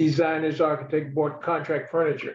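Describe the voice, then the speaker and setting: The man's voice sits at a fairly high pitch. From US South, Tidewater Virginia. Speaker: retired sales executive. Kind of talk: oral history interview. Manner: halting.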